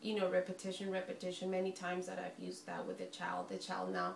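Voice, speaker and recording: Spanish accent amid noticeable background noise and audible room echo. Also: woman. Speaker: early intervention specialist and student. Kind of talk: class podcast presentation. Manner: halting, many fillers.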